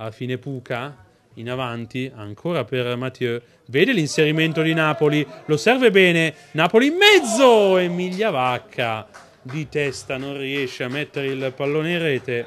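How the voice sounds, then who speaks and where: Over music in the background, the speech moves at a fairly slow pace with lively intonation and big swings in loudness. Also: man, fairly high pitch for a man. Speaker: football match commentator. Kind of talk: live sports commentary. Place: stadium.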